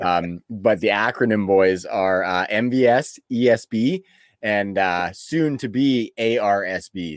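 With a Canadian accent and a normal speaking voice, a man talks at a fairly low pitch with ordinary pitch variation, in a very clean recording with a silent background and a dry, close sound with no echo. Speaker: fantasy football podcast host. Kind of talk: casual chat. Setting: home studio.

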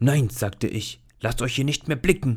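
A man puts on a shaky character voice at a medium pitch and a moderate pace. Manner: firm.

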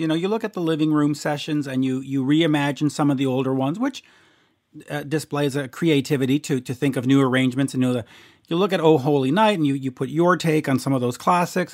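A man with an unremarkable speaking voice, fairly high in pitch, with ordinary pitch variation on a very clean recording with a silent background. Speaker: podcast host. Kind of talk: casual interview.

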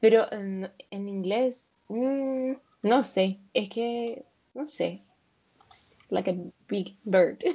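A woman's fairly high voice at a very slow pace, with ordinary pitch variation, big swings in loudness and long, frequent pauses. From Venezuela, near the Colombian border. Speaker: podcast co-host. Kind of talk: casual chat.

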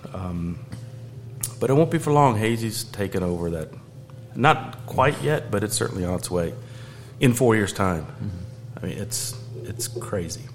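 Man with an American accent at medium pitch, ordinary pitch variation and a moderate pace, long frequent pauses, audible room echo and noticeable background noise. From US South, Georgia. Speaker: beer sales manager. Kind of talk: casual chat.

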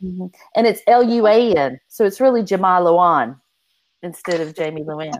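A woman has an unremarkable speaking voice at a medium pitch. Her intonation is lively and her pace moderate. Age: 50s. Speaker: romance author. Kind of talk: casual chat.

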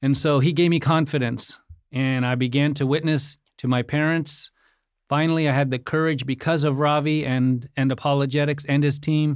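On a very clean recording with a silent background, a man with a fairly high pitch speaks at a moderate pace in a monotone, flat intonation with very even loudness. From India. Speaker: ministry staff, travel companion. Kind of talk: interview.

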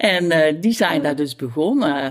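Through noticeable background noise comes a woman's very deep, low voice. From Tilburg-Noord, Netherlands (North Brabant). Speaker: neighbourhood resident. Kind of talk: casual interview chat.

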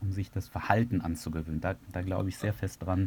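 A somewhat breathy male voice. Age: 30s. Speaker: software entrepreneur and podcaster on self-improvement. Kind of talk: interview.

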